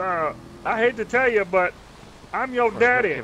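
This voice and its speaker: A man speaks in a raised, projected voice at a high pitch and a fairly slow pace, with ordinary pitch variation, big swings in loudness, and noticeable background noise. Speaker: roleplay game player. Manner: taunting, loud.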